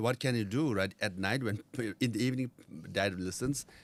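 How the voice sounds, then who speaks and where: This man speaks with a Nepali accent at a medium pitch and a fairly quick pace. The recording is very clean, with a silent background. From India, Darjeeling (Tibetan refugee community). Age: 50s. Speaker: former Tibetan exile political leader. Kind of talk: interview. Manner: conversational, frequent fillers.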